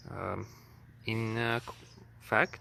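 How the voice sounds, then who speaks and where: A man with a non-native accent, fairly low pitch and a bright, sharp tone, at a very slow pace. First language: not English. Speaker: farmer reviewing his tractor. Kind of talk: product review walkthrough. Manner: halting, many filler sounds; reading from notes.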